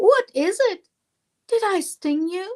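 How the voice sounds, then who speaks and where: In a put-on character voice, a woman sounds squeaky at an extremely high pitch with lively intonation, recorded dry and close with no echo. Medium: read story. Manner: warm, gently teasing.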